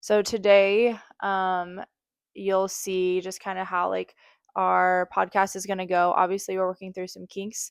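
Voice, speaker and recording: With monotone, flat intonation, a woman speaks at medium pitch and a fairly slow pace in a very clean recording with a silent background and a dry, close sound with no echo. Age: 30s. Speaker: podcast co-host. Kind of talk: casual chat. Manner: laid-back, quiet.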